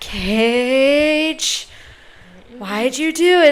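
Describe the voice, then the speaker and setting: A put-on character voice that sounds female. The pitch sits high for a woman. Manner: stern, disappointed.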